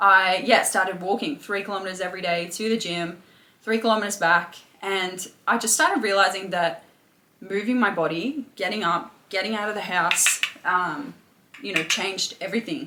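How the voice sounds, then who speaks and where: Against noticeable background noise, a woman speaks with an Australian accent at a medium pitch and ordinary pitch variation. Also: moderate pace. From England, then Australia. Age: 20s. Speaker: personal trainer and mindset coach. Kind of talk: interview testimony. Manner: hesitant, many fillers.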